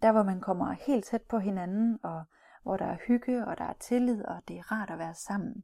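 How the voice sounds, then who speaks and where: A woman's medium-pitched voice with a dark, mellow tone and big swings in loudness, dry and close with no echo, on a very clean recording with a silent background. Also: ordinary pitch variation, moderate pace. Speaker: cultural trainer for business in Russia. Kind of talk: recorded training module. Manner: hesitant, many fillers and repeats.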